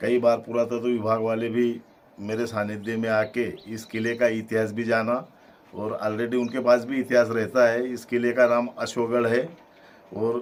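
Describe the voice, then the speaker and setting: Here is a man with a medium pitch. His intonation is monotone and flat. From Madhya Pradesh, Barwani district. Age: 60s. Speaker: village elder. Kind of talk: interview.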